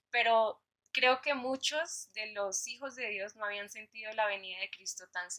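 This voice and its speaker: Speaking at a fairly slow pace with a Colombian accent, a woman has a fairly high pitch, a bright, sharp tone and ordinary pitch variation. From Colombia, Bogotá. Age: 20s. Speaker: young church member. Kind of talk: casual chat.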